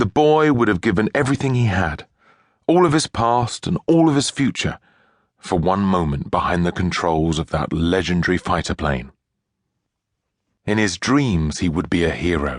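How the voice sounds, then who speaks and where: A man speaks at a moderate pace with a very deep, low pitch, very wide pitch swings, very even loudness and long, frequent pauses. The sound is dry and close with no echo, against a quiet background. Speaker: audiobook narrator. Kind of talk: audiobook narration, children's story.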